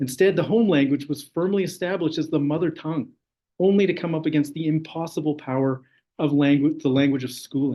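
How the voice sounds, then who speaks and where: This man speaks at a very fast pace. His pitch is fairly high. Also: ordinary pitch variation. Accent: Canadian. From interior of British Columbia, Canada. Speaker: graduate student researcher. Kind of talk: academic talk. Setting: online session.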